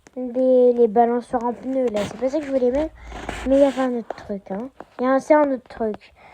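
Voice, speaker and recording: A woman's high voice in fairly even intonation, with noticeable background noise. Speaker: Roblox gaming youtuber. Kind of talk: casual gameplay commentary. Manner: hesitant, many fillers.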